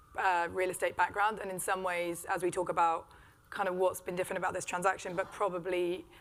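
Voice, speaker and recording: A woman with a British accent talks at a very fast pace and a fairly low pitch. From Britain. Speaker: business executive. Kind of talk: panel discussion.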